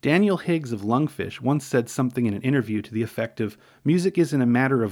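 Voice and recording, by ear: Reading aloud in a natural voice, with lively intonation.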